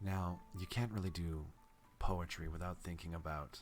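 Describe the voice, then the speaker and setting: A man's very deep, low voice with music playing behind it. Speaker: VTuber and ASMR streamer. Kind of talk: poetry reading (Shakespeare sonnets). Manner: soft, slow, soothing.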